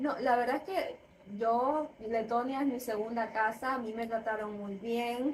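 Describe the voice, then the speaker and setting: A high-pitched woman speaks at a fairly slow pace with fairly even intonation. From Spain (born in Ecuador, moved at 10-11). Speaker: food professional interviewee. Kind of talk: interview.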